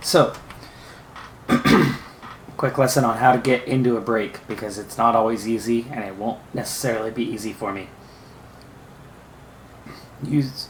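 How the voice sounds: Using a put-on character voice, a raspy, hoarse man speaks at a medium pitch and a moderate pace with long, frequent pauses and big swings in loudness over clear background noise.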